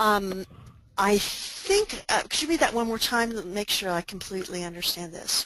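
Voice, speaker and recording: A woman's mid-range voice, with ordinary pitch movement, proceeds at a moderate speed. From Oklahoma. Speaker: pastor and disaster spiritual care expert. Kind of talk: webinar presentation. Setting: online webinar.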